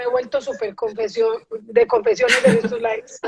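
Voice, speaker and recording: A woman talks at a moderate pace with a strong Medellín accent and ordinary pitch variation. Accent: strong paisa (Medellín). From Colombia, Medellín (paisa). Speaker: entrepreneur and live-stream host. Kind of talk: casual interview chat on a live stream. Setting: live stream.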